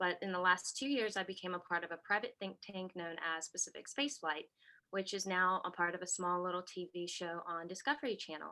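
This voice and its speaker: A woman with an American accent speaks at a fairly quick pace. Her pitch is medium with ordinary pitch variation. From US South. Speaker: science communicator. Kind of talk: panel introduction.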